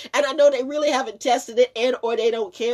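A woman talks at a very fast pace with very wide pitch swings. The background is quiet. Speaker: vlogger. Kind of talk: casual vlog chat, opinion rant. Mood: indignant, emphatic. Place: home room. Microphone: phone near.

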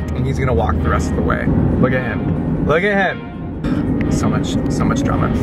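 A man talks at a moderate pace over background music, his voice dry with no echo. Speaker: vlogger. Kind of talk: casual vlog chat. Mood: playful, joking. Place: car. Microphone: phone near.

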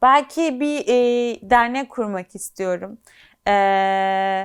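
This woman has an unremarkable speaking voice, fairly high in pitch with ordinary pitch variation. The recording is very clean, with a silent background. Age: 20s. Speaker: medical intern and social media influencer. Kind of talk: interview.

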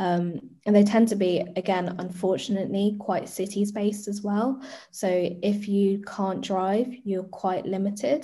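A woman with a London accent, somewhat breathy with a dark, mellow tone, fairly even intonation and a fairly slow pace over a quiet background. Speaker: arts and youth engagement producer; guest. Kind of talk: panel discussion. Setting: video call. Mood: warm, friendly. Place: home room. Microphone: webcam.

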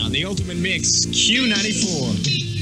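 A man speaks over loud music in the background. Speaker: radio DJ. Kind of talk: radio DJ aircheck. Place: studio. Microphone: old recording.

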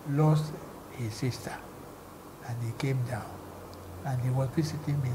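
A man at a moderate pace over noticeable background noise. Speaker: former broadcast commentator. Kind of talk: interview answer. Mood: cheerful, animated storytelling. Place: home room. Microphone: lapel.

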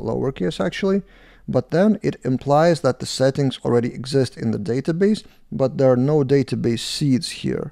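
A man speaks at a moderate pace in a dark, mellow tone. The background is quiet. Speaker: developer reviewing code. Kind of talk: tutorial.

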